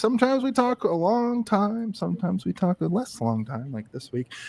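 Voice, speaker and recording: A man with an East Coast US accent talks at a moderate pace in a dry, close sound with no echo. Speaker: podcast co-host and professional wrestling announcer. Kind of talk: casual chat.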